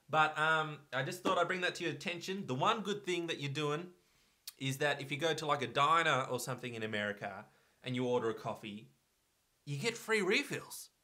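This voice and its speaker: A fairly high-pitched man with an Australian accent, lively intonation, and a fairly quick pace. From Australia, Victoria. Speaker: vlogger. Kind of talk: casual vlog talk.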